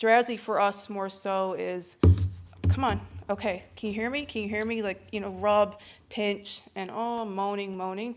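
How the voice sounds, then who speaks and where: The speaker is a woman with a medium pitch. She talks at a moderate pace. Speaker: health-care professional. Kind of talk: answering audience questions. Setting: arena hall with audience, streamed online. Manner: loud.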